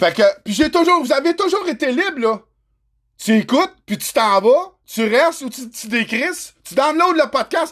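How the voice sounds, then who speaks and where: In a Quebec accent, a man with an extremely high pitch talks at a fairly slow pace, his animated tone marked by very wide pitch swings. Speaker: trucking podcaster. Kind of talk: solo livestream rant. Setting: livestream.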